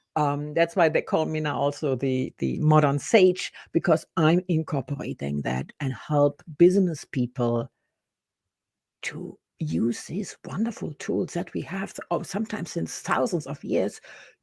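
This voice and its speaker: A woman with a German accent speaks at a fairly slow pace, her very deep, low pitch carrying vocal fry. Her intonation is lively, and the recording is very clean with a silent background. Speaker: business and personal development coach. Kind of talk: interview. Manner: halting.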